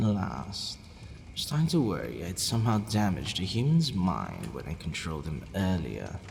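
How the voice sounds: In a put-on character voice, a man speaks at a moderate pace with a low, slightly mellow tone, vocal fry and very wide pitch swings, with audible room echo around him.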